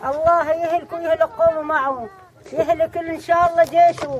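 Over crowd noise in the background, a woman with an extremely high pitch talks at a moderate pace. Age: old. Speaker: villager cooking outdoors. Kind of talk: street interview. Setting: outdoors. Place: open country. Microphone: phone near.

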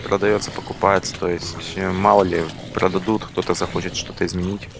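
Fairly quick speech from a man, noticeable background noise underneath. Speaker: gaming channel co-host.

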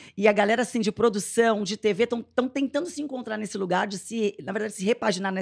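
Against a quiet background, a woman speaks very fast in a fairly high pitch. Her tone is animated. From Brazil, Santo André (São Paulo); São Paulo, Brazil. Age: 40s. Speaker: podcast host and entrepreneur; podcast host. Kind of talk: casual chat. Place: studio. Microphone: studio mic.

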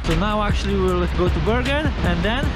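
With music in the background, a man's voice comes through dry, with no echo. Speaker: travel vlogger. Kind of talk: casual vlog chat. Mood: disappointed about the weather. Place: open country. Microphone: phone near.

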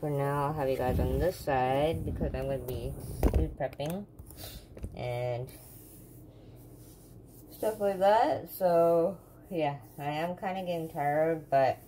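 A woman speaks at a fairly slow pace with a very deep, low pitch and ordinary pitch variation. Her long, frequent pauses sit over light background noise. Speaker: home vlogger. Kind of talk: casual vlog chat. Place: kitchen. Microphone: phone near.

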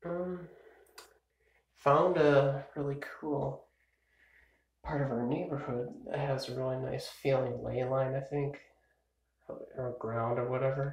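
Against audible room echo, a somewhat breathy man with a fairly high pitch speaks at a fairly slow pace with fairly even intonation and long, frequent pauses. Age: 20s. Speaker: vlogger. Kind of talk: casual birthday vlog monologue. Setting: filmed on a phone or camcorder at home, early morning. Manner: rambling with many fillers. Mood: relaxed, playful birthday musing. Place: home room. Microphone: phone near.

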